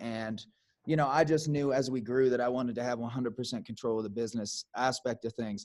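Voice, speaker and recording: A man with an American accent talks at a moderate pace in a normal speaking voice, with fairly even intonation. The recording is very clean and the background silent. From US Midwest. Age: 30s. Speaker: podcast host and musician. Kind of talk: casual chat.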